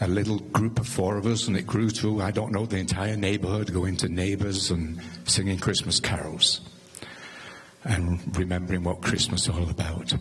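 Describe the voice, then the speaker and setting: A man with an English accent speaks at a very deep, low pitch with ordinary pitch variation and very even loudness. Noticeable background noise and audible room echo fill the recording. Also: moderate pace. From England. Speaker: neighbor giving a eulogy. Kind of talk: memorial tribute. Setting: church memorial service.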